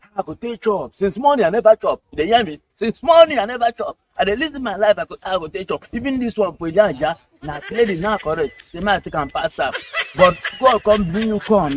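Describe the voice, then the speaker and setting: Over noticeable background noise, a man speaks with lively intonation and big swings in loudness, in a dry sound with no echo. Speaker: skit actor. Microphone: phone near.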